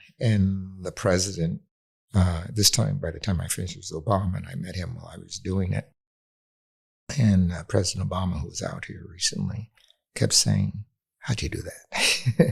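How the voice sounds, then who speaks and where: A man with a very deep, low pitch speaks at a moderate pace, somewhat breathy. His pitch varies in an ordinary way while his loudness swings widely. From US West Coast, near Los Angeles. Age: 80s+. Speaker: urban planning expert. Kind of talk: interview conversation.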